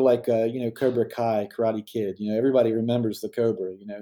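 Dark, mellow tone and fairly even intonation from a man. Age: 40s. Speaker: RC race promoter and team owner. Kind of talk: interview. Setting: video call.

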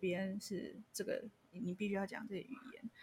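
A somewhat breathy woman's voice at a medium pitch, very cleanly recorded against a silent background. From Taiwan, Changhua. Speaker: podcast host. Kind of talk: casual chat.

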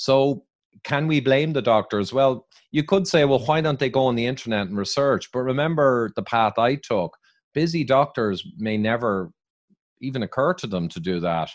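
In an Irish accent, a man speaks at a moderate pace and medium pitch with lively intonation, in a dry, close sound with no echo and a quiet background. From Ireland. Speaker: biochemical engineer and author, public speaker. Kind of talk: interview answers, explanatory.

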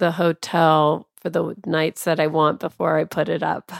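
An unremarkable speaking voice from a woman with an American accent, fairly low in pitch, at a fairly slow pace, with a dry, close sound with no echo on a very clean recording with a silent background. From US Pacific Northwest, Tacoma. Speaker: travel editor and publisher. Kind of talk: casual chat.

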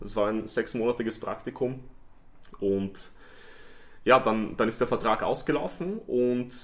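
A man of medium pitch at a moderate pace, ordinary pitch variation. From Vienna, Austria. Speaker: stadium announcer. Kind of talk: casual chat.

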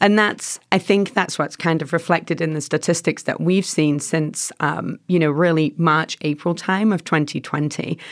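A woman's fairly low voice in a strong English accent, fairly slow and fairly even in intonation, on a very clean recording with a silent background. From England. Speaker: nonprofit staff, former social worker. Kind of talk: casual interview chat.

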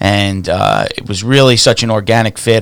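This man has an unremarkable speaking voice, with an American accent and fairly even intonation. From New York City (Staten Island). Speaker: real estate investor. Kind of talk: casual chat.

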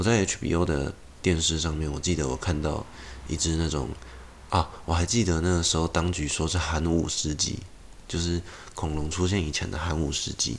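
A man speaks with vocal fry at a very deep, low pitch. His pace is moderate and his intonation fairly even. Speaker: podcast host. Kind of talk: casual monologue.

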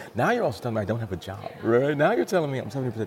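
A man speaks with an American accent. Noticeable background noise and audible room echo fill the recording. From US Pacific Northwest (Seattle). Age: young. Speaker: race car driver and author. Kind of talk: interview, life story. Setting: speedway museum hall.

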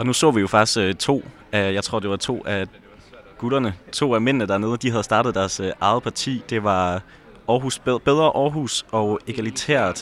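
A man at a medium pitch and fairly slow pace, ordinary pitch variation, a normal speaking voice. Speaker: podcast host. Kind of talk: casual chat, on-location reporting.

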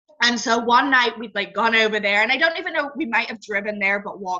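Amid noticeable background noise, a woman speaks very fast at a fairly high pitch. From England. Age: 20s. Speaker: blogger. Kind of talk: casual interview.

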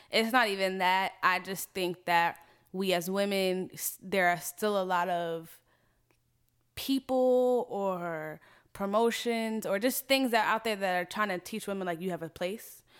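A woman's normal speaking voice, medium in pitch, with ordinary pitch variation and a fairly slow pace, in a very clean recording with a silent background. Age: 20s. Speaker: software engineer. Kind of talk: casual chat.

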